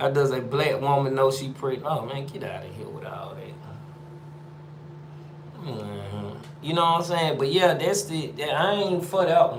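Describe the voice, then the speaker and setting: Amid noticeable background noise and audible room echo, a man with an Atlanta accent speaks in an animated tone at a moderate pace, his fairly high pitch showing ordinary variation and his loudness swinging widely. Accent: Atlanta Southern accent, natural. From Atlanta, Georgia, US South. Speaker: live streamer, former prisoner. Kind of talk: casual live stream chat, reading viewer comments. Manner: animated, repetitive slang-heavy speech.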